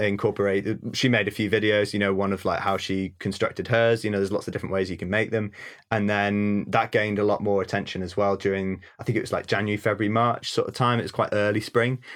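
Over a quiet background, a man with a North Welsh accent speaks very fast at a fairly low pitch in a monotone, flat intonation. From North Wales. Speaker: ecologist and wildlife photographer. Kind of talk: casual interview chat.

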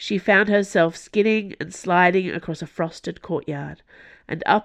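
What we hear is a natural reading voice.

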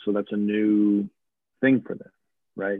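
A man speaks with a slight Southern US accent. His pitch is fairly low and his pace moderate. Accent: slight Southern twang. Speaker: army officer. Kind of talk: casual interview. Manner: formal.

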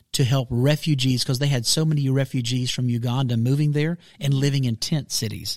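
Holding a medium pitch, the man talks with fairly even intonation. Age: 40s. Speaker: pastor. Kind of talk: casual chat. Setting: studio.

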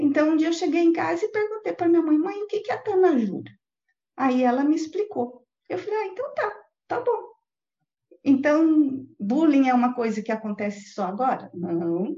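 Her voice is high, with very wide pitch swings. The woman speaks at a moderate pace. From Brazil, São Paulo city, later interior of Paraná. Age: 50s. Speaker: guest interviewee, facilitator. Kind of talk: interview, live online chat. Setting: live online video call.

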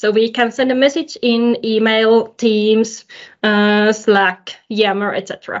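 A woman at a very slow pace, fairly high in pitch, with a Finnish accent. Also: fairly even intonation. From Finland. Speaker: modern work consultant. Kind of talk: casual chat.

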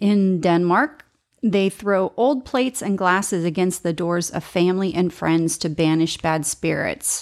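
A woman with an American accent talks at a fairly slow pace, her medium pitch showing ordinary variation and her loudness very even. The recording is very clean, with a silent background. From US, rural northwestern Pennsylvania. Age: 40s. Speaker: podcast host. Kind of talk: solo podcast monologue. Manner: halting, many fillers.

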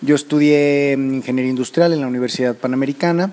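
Noticeable background noise behind a man at medium pitch, moderate pace and fairly even intonation. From Mexico. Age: 30s. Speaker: motivational speaker. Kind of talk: personal testimony. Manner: hesitant, many fillers.

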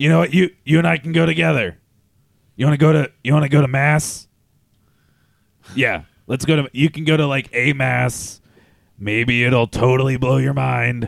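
In a put-on character voice, a man of medium pitch speaks at a moderate pace with long, frequent pauses. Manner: mild, evasive, preachy.

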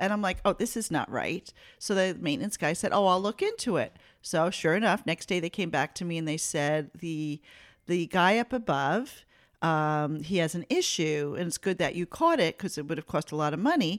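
Recorded very cleanly against a silent background, with a dry, close sound and no echo, a woman talks at a moderate pace with fairly low pitch and ordinary pitch variation. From Italian-American family. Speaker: podcast co-host, host's mother. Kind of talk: casual chat. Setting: studio with microphones. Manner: animated.

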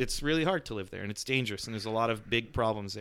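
In a very clean recording with a silent background, a man speaks with a bright, sharp tone and ordinary pitch variation. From Mexico. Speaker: musician. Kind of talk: casual chat.

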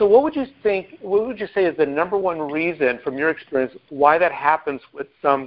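A man with an American accent, high in pitch, with lively intonation at a moderate pace. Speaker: team call host. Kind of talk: team call presentation. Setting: phone call.

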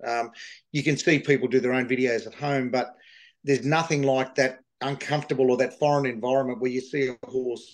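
A man with an Australian accent speaks at a fairly quick pace in a medium-pitched voice, his tone passionate yet his intonation monotone and flat. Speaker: livestock agent and horse sale organiser. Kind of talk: interview. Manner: halting, with many fillers.

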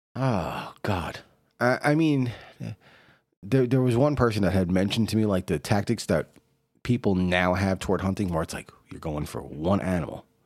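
The recording is very clean, with a silent background, as a man with an American accent uses a normal speaking voice. His pitch is fairly low, his intonation lively, and his pace moderate. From New York City. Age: 40s. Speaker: podcast host. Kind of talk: casual chat.

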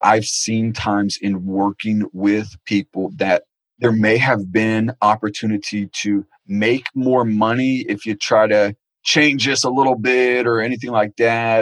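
In an American accent, a man with an unremarkable speaking voice talks at a fairly slow pace and medium pitch, his intonation fairly even. The sound is dry and close with no echo. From Florida, Naples. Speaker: internet marketing expert. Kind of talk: interview conversation.

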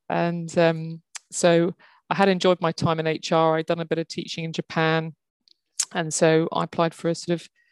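In a southern English accent, a woman speaks at a fairly low pitch. The sound is dry and close with no echo, on a very clean recording with a silent background. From England, Kent. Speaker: HR executive. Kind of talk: interview conversation.

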